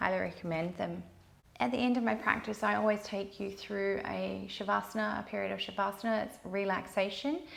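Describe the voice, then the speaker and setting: Talking at a fairly quick pace, a woman is heard with audible room echo. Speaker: yoga teacher. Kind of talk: guided yoga class. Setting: home yoga studio. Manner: calm, soothing.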